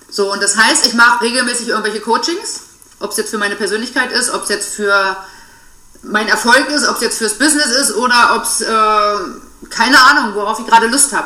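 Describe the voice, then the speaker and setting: A woman talks at a fairly quick pace with a fairly high pitch and ordinary pitch variation. The recording has audible room echo and noticeable background noise. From Saxony-Anhalt, eastern Germany. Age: 30s. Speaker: financial and money coach. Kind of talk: casual interview.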